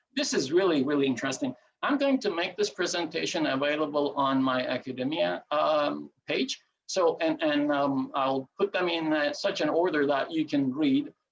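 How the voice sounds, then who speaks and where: Talking at a moderate pace with a Turkish accent, a man keeps very even loudness, his fairly high pitch showing ordinary variation. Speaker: presenter on ancient coins. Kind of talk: lecture. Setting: video call. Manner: halting, many fillers.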